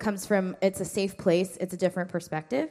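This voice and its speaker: At a fairly quick pace, a woman talks at a medium pitch in an unremarkable speaking voice. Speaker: ministry worker. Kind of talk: lecture.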